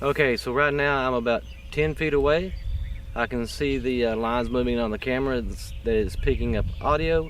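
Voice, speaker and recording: There is noticeable background noise. A man is talking. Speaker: YouTuber reviewing gear. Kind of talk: mic test review. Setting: talking to camera at varying distances. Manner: casual, rambling.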